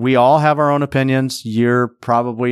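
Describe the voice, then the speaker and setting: A man speaks at medium pitch and a moderate pace in an unremarkable speaking voice. The recording is very clean with a silent background. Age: 50s. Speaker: podcast host. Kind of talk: solo podcast monologue. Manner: casual, with filler words.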